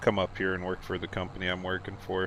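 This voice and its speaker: A man with a Midwestern US accent and a very deep, low pitch. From Iowa. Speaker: streamer. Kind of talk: casual chat.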